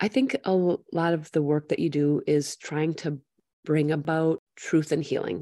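A woman's very deep, low voice at a fairly slow pace, with very even loudness and a dry, close sound with no echo. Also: ordinary pitch variation. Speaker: podcast host. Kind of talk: casual podcast interview.

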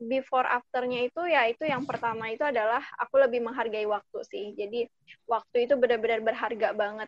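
The voice moves at a moderate pace with fairly even intonation, in a dry, close sound with no echo. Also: woman. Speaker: nursing student, alumna. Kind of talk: casual chat.

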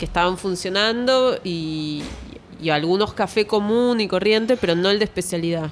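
A woman's ordinary speaking voice at a medium pitch and a moderate pace. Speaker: architect. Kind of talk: casual interview chat. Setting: café patio.

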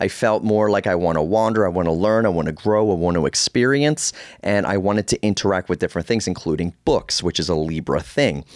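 With an American accent, a man uses an ordinary speaking voice, fairly low in pitch and at a fairly quick pace, the sound dry and close with no echo. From US Northeast, Baltimore. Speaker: astrologer and podcast host. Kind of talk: solo podcast monologue. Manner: casual, conversational with fillers.

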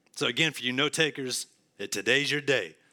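A man with an American accent speaks at a moderate pace in a bright, sharp tone. The recording is very clean with a silent background. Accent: rural Southern US (redneck). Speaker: pastor. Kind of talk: sermon. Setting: church.

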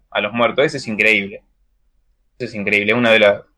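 Using an unremarkable speaking voice, a man talks at a fairly quick pace with ordinary pitch variation. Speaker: podcast co-host. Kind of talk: casual chat.

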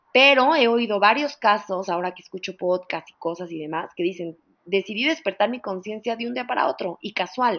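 Speaking with a Mexican accent, a woman of medium pitch talks at a fairly quick pace with lively intonation. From Mexico. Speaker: psychologist. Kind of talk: interview.

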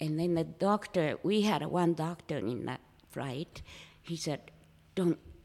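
In a Japanese accent, a woman speaks at a very slow pace. Her pitch is fairly low, with ordinary variation. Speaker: former flight attendant and artist. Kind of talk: interview storytelling. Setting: room with echo.

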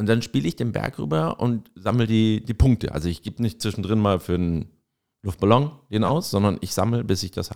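In a very clean recording with a silent background, a man with a Franconian accent speaks at a fairly low pitch with lively intonation. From Franconia, Erlangen. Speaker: podcast co-host, marketer. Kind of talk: casual chat.

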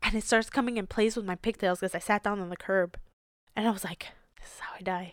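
A woman at medium pitch and very fast pace, fairly even in intonation, with big swings in loudness, in a dry, close sound with no echo. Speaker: Marine veteran. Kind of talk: casual chat.

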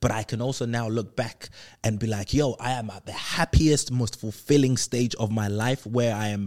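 A man's medium-pitched voice at a moderate pace. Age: 30s. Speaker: motivational podcast host. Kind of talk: solo motivational talk.

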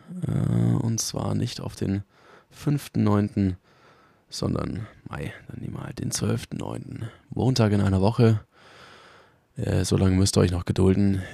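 Very slowly and with long, frequent pauses, a man talks in a dark, mellow tone with lively intonation. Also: fairly low pitch for a man. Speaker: podcast host. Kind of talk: voice memo announcement. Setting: in bed at home. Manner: halting.

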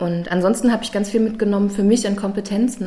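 Against noticeable background noise and audible room echo, a woman talks very fast at a medium pitch in a monotone, flat way. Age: 30s. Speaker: university student representative. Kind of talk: interview.

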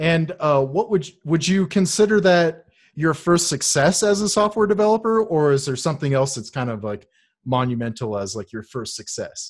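Sounding upbeat and enthusiastic, a man speaks at a moderate pace in a fairly high voice with very wide pitch swings. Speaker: podcast host. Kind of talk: casual interview chat. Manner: upbeat, enthusiastic.

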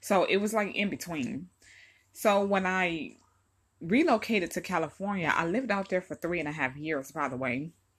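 In an American accent, a woman with a plain, everyday voice talks at medium pitch and a moderate pace with lively intonation over a quiet background. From Detroit, Michigan. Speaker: political podcaster. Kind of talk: solo political commentary. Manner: casual, conversational.

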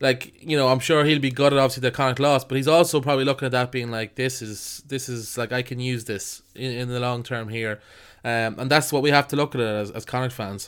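On a very clean recording with a silent background, a man of medium pitch talks at a fairly quick pace with fairly even intonation. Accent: Irish. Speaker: podcast host. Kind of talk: casual chat.

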